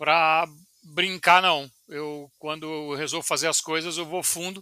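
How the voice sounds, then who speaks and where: In a very clean recording with a silent background and a dry, close sound with no echo, a man speaks at a moderate pace with fairly even intonation and a bright, sharp tone. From Brazil, João Pessoa (Paraíba, Northeast). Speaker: civil engineer and startup founder, former professor. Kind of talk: interview. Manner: hesitant, many filler repetitions.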